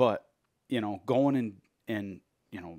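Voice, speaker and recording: With an American accent and ordinary pitch variation, a man speaks against a quiet background. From Michigan. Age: middle-aged. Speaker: podcast host. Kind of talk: casual interview chat. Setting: studio. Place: home room. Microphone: headset.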